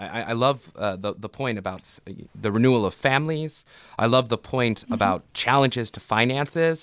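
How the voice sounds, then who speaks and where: An ordinary speaking voice with an American accent moves at a fairly quick pace with lively intonation. The loudness swings widely in a very clean recording with a silent background. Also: man. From US South. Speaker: podcast host and theology professor. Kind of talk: interview.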